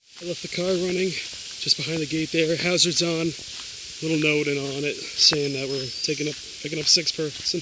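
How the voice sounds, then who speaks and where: In an American accent, a man with a fairly high pitch talks at a fairly quick pace with monotone, flat intonation, in a dry sound with no echo and noticeable background noise. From Massachusetts. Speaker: hiking vlogger. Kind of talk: vlog narration. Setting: outdoors; in a car. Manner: loud. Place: forest. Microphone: phone near.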